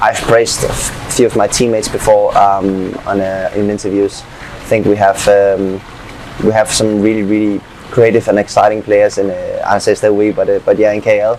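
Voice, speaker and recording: Speaking at a moderate pace in a Danish accent, a man with a fairly low voice keeps a monotone, flat delivery amid noticeable background noise. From Denmark. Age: 20s. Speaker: footballer. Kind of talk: interview.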